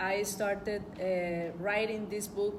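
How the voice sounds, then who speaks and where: A woman with a Spanish accent, her pitch fairly high, her pace very slow, with audible room echo. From El Salvador. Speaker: journalist and book author. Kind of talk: book presentation speech. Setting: event hall with audience. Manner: halting.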